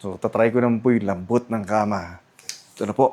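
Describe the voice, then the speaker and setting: A man talks at a moderate pace and a medium pitch, with ordinary pitch variation. Background noise is noticeable. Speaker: travel vlogger. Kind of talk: vlog hotel tour. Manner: casual, halting.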